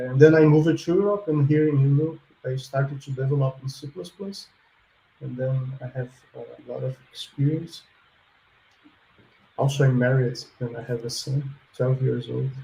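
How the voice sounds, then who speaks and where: A man with a Portuguese accent speaks at a medium pitch in a dark, mellow, somewhat breathy tone, with ordinary pitch variation and big swings in loudness. He keeps a moderate pace broken by long, frequent pauses. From Brazil. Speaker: software developer and student. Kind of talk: interview answers.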